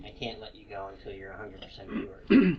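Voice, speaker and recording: In a gruff, put-on character voice, someone speaks very fast with big swings in loudness over clear background noise. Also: man, fairly low pitch for a man. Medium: actual play. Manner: gruff, curt.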